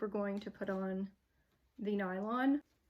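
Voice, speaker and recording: A somewhat breathy woman at a fairly slow pace, with ordinary pitch variation. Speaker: fibre artist and craft tutor. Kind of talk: tutorial. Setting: home craft studio. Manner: casual, chatty.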